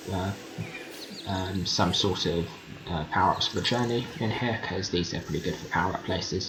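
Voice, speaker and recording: Amid noticeable background noise and audible room echo, a man with a very deep, low pitch speaks with fairly even intonation. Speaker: gaming video creator. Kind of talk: gameplay commentary. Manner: fast; hesitant with many fillers.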